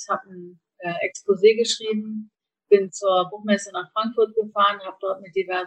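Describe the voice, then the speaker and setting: With an unremarkable speaking voice, a woman talks at a moderate pace using fairly even intonation. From northern Germany, Kiel. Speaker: organic food importer, former journalist. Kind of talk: interview.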